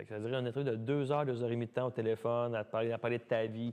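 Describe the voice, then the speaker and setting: A man speaks in a Quebec accent at a medium pitch. His intonation is monotone and flat. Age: 30s. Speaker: dancer and dance studio owner. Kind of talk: casual interview. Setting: podcast studio. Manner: fast, talkative.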